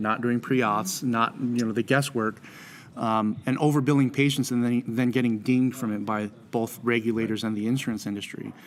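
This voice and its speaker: Fairly even in intonation, a normal speaking voice with an American accent moves at a fairly quick pace. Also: man, medium pitch for a man. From American Samoa. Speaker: dental insurance consultant and speaker. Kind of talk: interview. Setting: live at a conference event. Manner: filler-heavy, repeats words.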